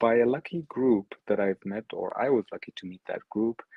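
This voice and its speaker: A man with an Arabic accent talks at a medium pitch and a moderate pace, with ordinary pitch variation. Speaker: NFT artist and project founder. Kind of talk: presentation.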